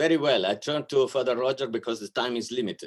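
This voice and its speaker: In a very clean recording with a silent background, a man speaks with an Italian accent. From Italy, Milan. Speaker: archbishop, diplomat. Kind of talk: welcome speech. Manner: hesitant, with many fillers.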